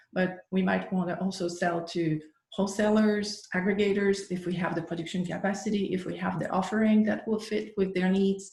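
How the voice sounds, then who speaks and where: At a moderate pace, a somewhat breathy voice speaks in a flat monotone, with audible room echo. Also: woman. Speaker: workshop presenter on agricultural marketing. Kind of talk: lecture.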